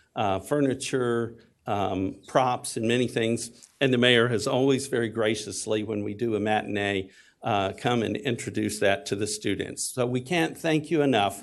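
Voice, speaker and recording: Spoken at a moderate pace in a Texas accent, the voice has ordinary pitch variation over a quiet background. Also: man, medium pitch for a man. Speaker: community theater executive. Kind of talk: public comment testimony. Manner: hesitant with fillers.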